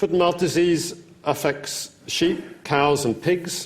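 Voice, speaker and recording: A man with a British accent. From United Kingdom. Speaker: professor. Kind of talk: lecture.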